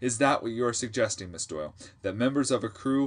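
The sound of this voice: The voice reading is an unforced reading voice.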